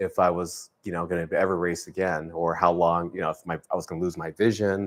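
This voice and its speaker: A man's very deep, low voice at a moderate pace, flat and monotone, on a very clean recording with a silent background. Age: 60s. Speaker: triathlete and swim support volunteer. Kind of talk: interview. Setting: live video stream. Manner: halting, many fillers.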